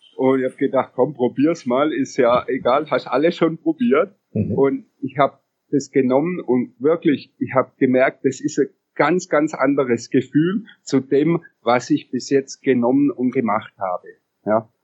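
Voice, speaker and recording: This man's fairly high voice has ordinary pitch variation and a fairly slow pace. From Upper Bavaria, Germany. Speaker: CBD product entrepreneur. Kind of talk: interview. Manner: hesitant, many filler sounds.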